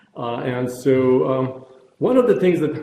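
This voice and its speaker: A man at a moderate pace, with audible room echo. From former Yugoslavia (Croatia/Bosnia). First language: Croatian. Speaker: neurologist, pain researcher. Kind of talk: lecture. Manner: halting, many fillers.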